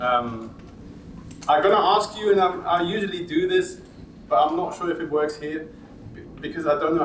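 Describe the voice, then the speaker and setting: A fairly high-pitched man with a German accent, amid noticeable background noise and audible room echo. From Germany. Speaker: audio industry presenter. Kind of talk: workshop presentation.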